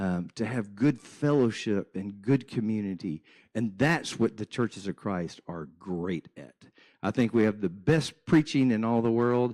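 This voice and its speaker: Against a quiet background, a man with a normal speaking voice talks at a fairly slow pace with lively intonation. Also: fairly low pitch for a man. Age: 60s. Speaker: church minister and guest speaker. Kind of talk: church presentation.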